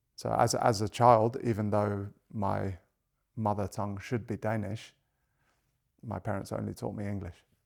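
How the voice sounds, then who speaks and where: On a very clean recording with a silent background, a man at a fairly low pitch talks at a moderate pace in monotone, flat intonation, with long, frequent pauses. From international, grew up across Asia and Europe. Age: 40s. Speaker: financial coach. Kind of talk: podcast interview. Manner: hesitant with fillers and repetitions.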